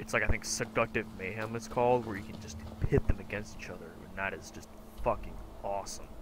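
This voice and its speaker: Quiet and very fast, a man speaks at a fairly low pitch with vocal fry and fairly even intonation. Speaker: gameplay commentator. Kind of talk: casual let's play commentary. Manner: sparse, quiet speech.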